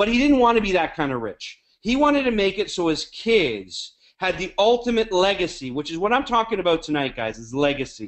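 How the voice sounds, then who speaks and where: Animated and fairly quick, a man with an American accent speaks at a high pitch with very wide pitch swings. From Canada. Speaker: network marketing leader. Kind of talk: webinar talk. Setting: conference call.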